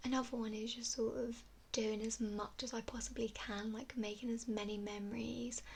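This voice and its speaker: Soft-spoken and fairly high-pitched, a woman talks at a moderate pace in a monotone, flat intonation while noticeable background noise runs behind her. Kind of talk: ASMR Q&A, soft-spoken talk to camera.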